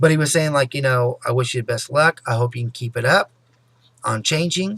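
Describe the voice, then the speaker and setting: A man speaks at a fairly quick pace with ordinary pitch variation and a fairly high pitch. The sound is dry and close, with no echo. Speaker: vlogger. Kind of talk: personal vlog monologue. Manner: fast.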